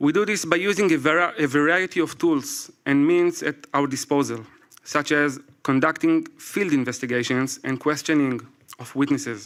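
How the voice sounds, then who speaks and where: A man speaks with an Israeli accent at a fairly high pitch. His pace is moderate and his pitch varies in an ordinary way. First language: Hebrew. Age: 40s. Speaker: military reserve investigator. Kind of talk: prepared speech read aloud. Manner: halting.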